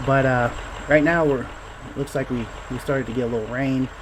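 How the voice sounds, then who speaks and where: Mumbling at a moderate pace, a man with a medium pitch keeps his intonation fairly even over noticeable background noise. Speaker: indie game developer. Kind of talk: casual gameplay talk. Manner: halting.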